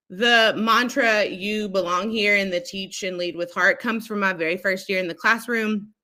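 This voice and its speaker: Loud and bright with a sharp tone, a woman speaks at a medium pitch with ordinary pitch variation. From Kentucky (Lexington). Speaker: instructional coach, educator. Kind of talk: casual interview.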